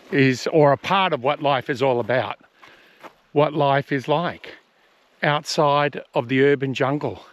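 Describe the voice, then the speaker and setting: A man with an Australian accent speaks fairly slowly in a fairly high pitch, with fairly even intonation, very even loudness and long, frequent pauses, in a dry, close sound with no echo. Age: 60s. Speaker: fishing vlogger. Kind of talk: casual vlog talk to camera. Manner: casual.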